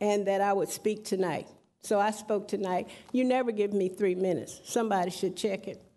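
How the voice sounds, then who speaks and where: In a room with audible echo, a woman speaks fairly quickly at a medium pitch, her tone dark and mellow and her intonation fairly even. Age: 60s. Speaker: public commenter at council meeting. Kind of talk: public comment speech. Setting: city council chamber. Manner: impassioned.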